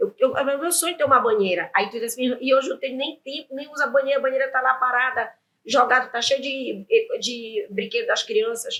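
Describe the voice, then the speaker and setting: A woman talks at a fairly quick pace in a high pitch with ordinary pitch variation. Her raised, projected voice has a bright, sharp tone. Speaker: entrepreneur and business owner. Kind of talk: interview conversation. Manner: fast; animated.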